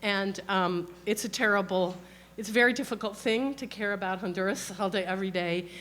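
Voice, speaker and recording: Fairly quick and fairly even in intonation, a woman's voice sits at medium pitch. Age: 60s. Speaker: author and historian. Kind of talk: book talk. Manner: halting with fillers.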